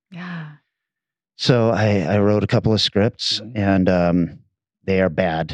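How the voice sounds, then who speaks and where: With a Pacific Northwest accent, a man speaks at a fairly slow pace and a fairly low pitch, his intonation lively and his pauses long and frequent, over a quiet background. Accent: general American (Pacific Northwest). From US Pacific Northwest (Bellingham, Washington). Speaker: podcast host. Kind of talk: casual chat.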